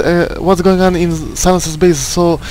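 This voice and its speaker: A man with a non-native accent and a high pitch speaks at a fairly slow pace over noticeable background noise. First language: not English. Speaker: esports caster. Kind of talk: live game commentary. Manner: halting, many fillers and repetitions.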